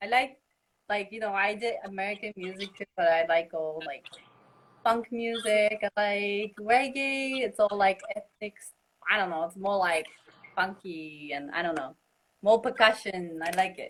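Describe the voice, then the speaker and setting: Speaking at a fairly slow pace, a woman at medium pitch shows ordinary pitch variation and big swings in loudness. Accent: Japanese. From Japan. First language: Japanese. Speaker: musician and music teacher. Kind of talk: interview.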